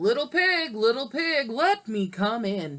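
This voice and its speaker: A put-on character voice swings very widely in pitch and moves at a fairly slow pace. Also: woman. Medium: read story.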